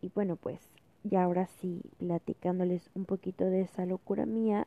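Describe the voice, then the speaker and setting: A woman speaks in a normal speaking voice at a moderate pace and a medium pitch. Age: 20s. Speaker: student podcaster. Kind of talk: casual monologue.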